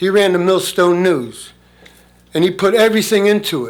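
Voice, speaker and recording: With audible room echo, the speech carries ordinary pitch variation. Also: man. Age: 70s. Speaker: resident speaking at public comment. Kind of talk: public comment at town meeting. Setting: town council meeting room. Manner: halting.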